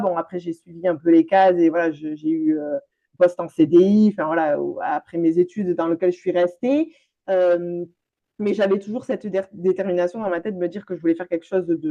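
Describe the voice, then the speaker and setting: A woman talks in a southwestern French accent, with a fairly low pitch and a dark, mellow tone. Her pace is fairly quick and her intonation fairly even. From France, Landes (southwest). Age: 30s. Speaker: business coach. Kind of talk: interview conversation.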